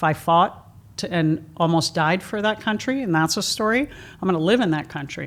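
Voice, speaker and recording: A woman's fairly low voice with lively intonation at a fairly quick pace. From New York (Bronx), Cuban-American family. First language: Spanish. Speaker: therapist and author. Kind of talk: interview storytelling.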